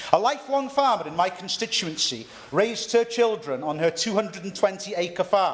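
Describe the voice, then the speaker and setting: A man with a North East Welsh accent talks at a fairly quick pace and a high pitch, with lively intonation. Noticeable background noise is present. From North East Wales. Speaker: member of parliament. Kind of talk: parliamentary speech. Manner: formal; occasional stumbles.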